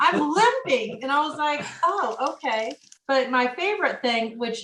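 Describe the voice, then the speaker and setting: A woman with an American accent speaks at a moderate speed. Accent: Midwestern (noticed by husband). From rural Illinois. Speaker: coach's wife. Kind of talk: casual interview chat.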